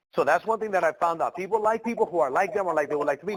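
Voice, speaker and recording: A man with an American accent, ordinary pitch variation, and noticeable background noise. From Mexico, raised in the US from age 6. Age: 30s. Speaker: entrepreneur. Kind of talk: mentorship call.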